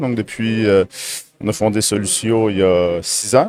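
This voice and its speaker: With a normal speaking voice, a man talks at a medium pitch and varies it in an ordinary way. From Quebec, Berthierville. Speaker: company co-founder, technical director. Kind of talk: casual interview. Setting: trade fair.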